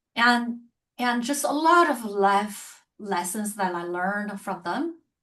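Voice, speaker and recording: A woman with a Chinese accent speaks against a quiet background. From China. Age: 50s. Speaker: author and publisher. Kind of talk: interview conversation.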